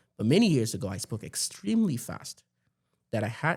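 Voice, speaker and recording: A man speaks very fast with very wide swings in pitch and a somewhat breathy sound, on a very clean recording with a silent background. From Nigeria. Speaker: tech executive. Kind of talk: podcast interview.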